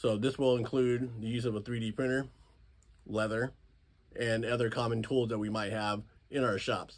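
A man talks at a moderate pace in a monotone with flat intonation. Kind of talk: casual vlog chat. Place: workshop. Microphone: phone near.

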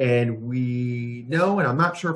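A man with an American accent speaks with a somewhat breathy voice and ordinary pitch variation against a quiet background. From Florida. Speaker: business development director at a home care agency, video series host. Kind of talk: casual conversational web video interview. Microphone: video call.

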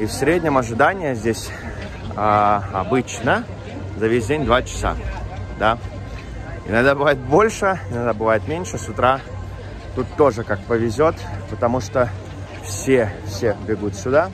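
Faint music plays in the background of a dry recording with no echo. A man speaks with ordinary pitch variation. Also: fairly slow pace. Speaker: travel vlogger. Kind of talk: casual vlog chat. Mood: amused, laughing. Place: street. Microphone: phone near.

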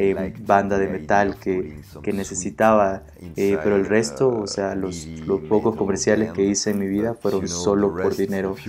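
A man's fairly slow, fairly even-toned speech over music in the background. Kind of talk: interview answer. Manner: blunt, expressive.

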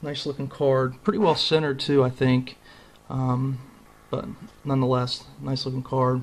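A man speaks at a moderate pace with a somewhat breathy sound. He leaves long, frequent pauses. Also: medium pitch for a man, fairly even intonation. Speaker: trading card collector. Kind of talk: casual video. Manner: casual, conversational, filler-heavy.

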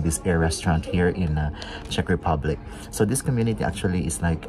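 A man's very deep, low voice with ordinary pitch variation, set against clear music in the background. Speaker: travel vlogger. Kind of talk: casual vlog chat. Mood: relaxed, pleased. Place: cafe.

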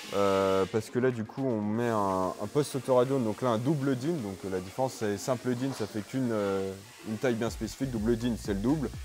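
Faint music plays in the background while a man talks at a fairly quick pace. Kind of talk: interview answer. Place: workshop. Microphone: lapel.

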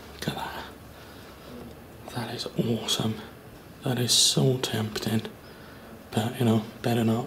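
Loud background noise fills the clip while the speech keeps a moderate pace. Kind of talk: casual vlog chat. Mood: regretful about vandalism. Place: classroom. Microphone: phone near.

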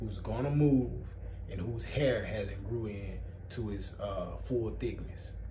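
A man talks very slowly while noticeable background noise fills the recording. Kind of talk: casual advice talk. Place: shop. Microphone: camera far.

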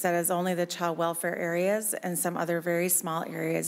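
A woman with an American accent at a fairly quick pace. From US Midwest, rural western Minnesota. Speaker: county human services director. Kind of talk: legislative hearing testimony. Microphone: podium.

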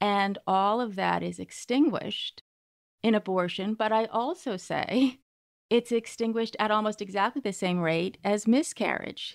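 Recorded dry and close with no echo, the speaker uses an American accent, ordinary pitch variation and a moderate pace. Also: woman, fairly high pitch for a woman. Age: 50s. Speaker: writer and magazine editor. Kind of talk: interview conversation. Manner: animated.

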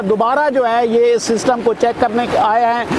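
A man speaks at an extremely high pitch in a monotone, flat intonation. The sound is dry with no echo, though background noise is noticeable. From Pakistan, Bhakkar district, Thal; Pakistan. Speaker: farmer, customer. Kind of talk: customer testimony. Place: farm machine.

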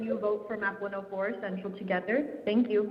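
A woman speaks at a very fast pace with fairly even intonation. There is noticeable background noise. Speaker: parent, caller. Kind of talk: public comment. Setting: phone call. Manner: shaky.

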